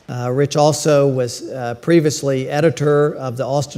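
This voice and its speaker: Fairly high in pitch, this man's voice stays monotone and flat. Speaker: panel moderator, editorial director. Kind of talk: panel moderation. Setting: conference stage with audience.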